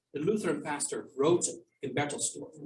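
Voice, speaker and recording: In a non-native accent, a man speaks with a high pitch. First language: not English. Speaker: historian and author. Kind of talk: Q&A at a book launch. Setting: archive reading room with audience and Zoom. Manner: hesitant, with fillers and restarts.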